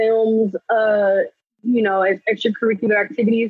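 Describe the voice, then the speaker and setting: Woman with an American accent, fairly high pitch and monotone, flat intonation. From Los Angeles, California. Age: 20s. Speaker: actress. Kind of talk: podcast interview.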